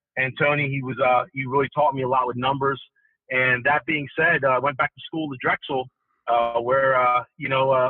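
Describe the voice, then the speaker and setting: Over background music, a man speaks at a moderate pace in a flat, monotone delivery. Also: medium pitch for a man. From Ghana, West Africa. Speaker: real estate developer. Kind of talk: interview. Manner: halting, many fillers.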